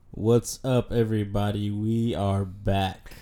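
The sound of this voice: This is a put-on character voice that sounds robotic. It moves at a fairly slow pace with monotone, flat intonation. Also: man, fairly low pitch for a man.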